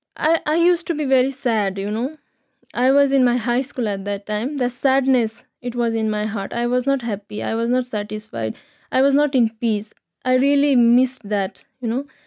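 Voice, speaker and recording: A woman speaks high in pitch with a dark, mellow tone. Her pitch variation is ordinary and her pace fairly slow. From Nepal, Kathmandu area. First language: Nepali (speaking Slovak). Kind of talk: interview. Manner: halting.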